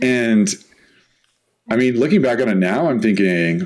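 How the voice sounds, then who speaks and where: A man with a medium-pitched voice swings very widely in pitch, and there is audible echo in the room. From San Diego, California. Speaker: podcast co-host. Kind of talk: casual chat.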